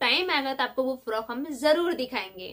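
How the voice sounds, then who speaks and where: A woman speaks at a high pitch with ordinary pitch variation. Her tone is animated and dramatic at a fairly slow pace. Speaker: vlogger. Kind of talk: casual chat replying to viewer comments. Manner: animated, dramatic delivery. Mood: relaxed and friendly. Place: home room. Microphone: phone near.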